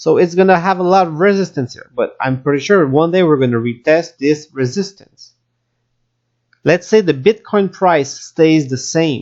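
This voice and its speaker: The speaker has a Quebec accent and keeps a moderate pace. The background is quiet. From Quebec, Canada. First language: French. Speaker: crypto YouTuber. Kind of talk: market analysis commentary. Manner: halting with fillers.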